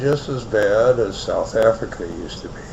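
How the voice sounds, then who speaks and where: A man with an American accent speaks at a fairly slow pace and fairly even intonation, with audible room echo and noticeable background noise. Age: 60s. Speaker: online radio host. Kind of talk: personal storytelling monologue. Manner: casual.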